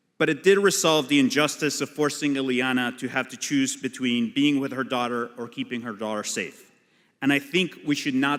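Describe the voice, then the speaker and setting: A man with a Spanish accent talks at a moderate pace, with medium pitch and ordinary pitch variation. The recording is very clean, with a silent background. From Colombia (Bogota). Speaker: immigration lawyer and activist. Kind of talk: keynote speech.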